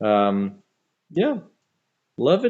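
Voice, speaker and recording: A man with a Flemish accent, at a very slow pace. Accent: Flemish Belgian English. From Belgium, Antwerp area (Flemish). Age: 40s. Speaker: metal band musician. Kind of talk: casual interview chat. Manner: halting, many fillers and repetitions.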